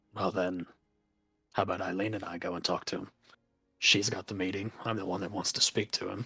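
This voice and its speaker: A man's put-on character voice, raspy and very deep, flat in a monotone, fairly quick yet broken by long, frequent pauses. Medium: actual play.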